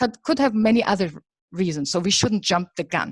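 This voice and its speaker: A woman's somewhat breathy voice with lively intonation, in a dry, close sound with no echo. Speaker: psychology lecturer. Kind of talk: lecture.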